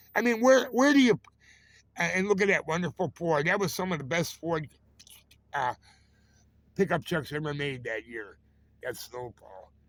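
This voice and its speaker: Pausing long and often, a man speaks at a moderate pace with very wide pitch swings and big swings in loudness. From Chicago, US. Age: 70s. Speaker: vlogger. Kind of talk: casual vlog monologue. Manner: rambling, halting.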